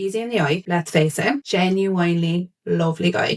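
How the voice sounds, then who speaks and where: In a rural Irish accent, a woman speaks with ordinary pitch variation. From Ireland. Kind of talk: casual podcast chat.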